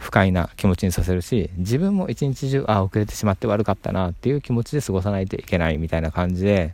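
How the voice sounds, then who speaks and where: A man's dark, mellow tone, relaxed, with fairly low pitch. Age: 30s. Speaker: YouTuber and tidying advisor. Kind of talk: casual monologue. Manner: relaxed, with frequent fillers.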